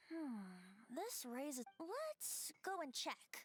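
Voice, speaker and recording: A put-on character voice, high-pitched and very slow, with very wide pitch swings over background music. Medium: video game.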